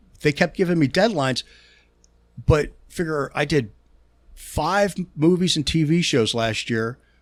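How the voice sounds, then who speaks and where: With a strong Pittsburgh accent, a man speaks at a fairly slow pace in a fairly high voice, his intonation lively and his pauses long and frequent. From Pittsburgh, Pennsylvania. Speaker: touring guitar technician. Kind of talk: casual podcast interview. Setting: studio. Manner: halting, frequent stutters and repeats.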